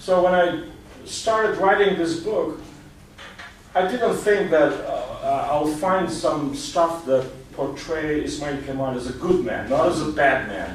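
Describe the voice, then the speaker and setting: A man with an Albanian accent at a high pitch, a fairly slow pace, audible room echo and noticeable background noise. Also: ordinary pitch variation. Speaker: author and historian. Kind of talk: guest talk. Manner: halting, many fillers.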